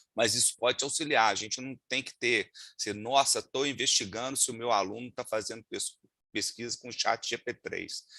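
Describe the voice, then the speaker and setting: In a Minas Gerais accent, a man speaks with a bright, sharp tone and big swings in loudness, the sound dry and close with no echo. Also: medium pitch for a man, fairly even intonation, moderate pace. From Minas Gerais, Brazil (Juiz de Fora). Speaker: lawyer and data protection instructor. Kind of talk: webinar talk. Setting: video call. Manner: hesitant, many fillers.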